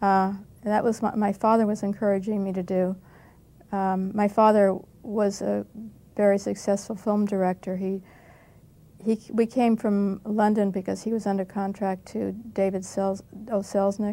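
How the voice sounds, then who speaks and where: With a General American accent, a woman speaks at a moderate pace in a dark, mellow tone, her intonation monotone and flat, with long, frequent pauses. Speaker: actress. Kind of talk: casual interview recollection. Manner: laughing, light-hearted, self-deprecating. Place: studio.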